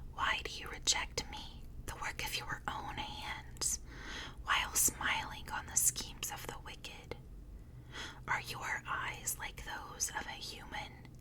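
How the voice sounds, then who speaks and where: A woman whispering at a very slow pace, with noticeable background noise. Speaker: ASMR content creator. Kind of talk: whispered Bible reading. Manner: whispered.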